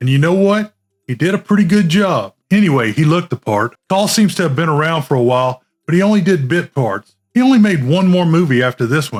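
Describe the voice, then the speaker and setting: Music plays behind a man talking at a fairly quick pace. His pitch is fairly high and swings very widely. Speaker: film reviewer. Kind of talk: movie review talk to camera.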